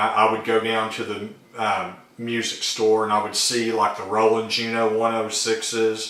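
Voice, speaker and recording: The speaker has an American accent and a fairly slow pace. Audible room echo surrounds the voice. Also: man. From Arkansas, US South. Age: 40s. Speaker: YouTuber, synth hobbyist. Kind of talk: casual vlog talk. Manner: hesitant, many fillers.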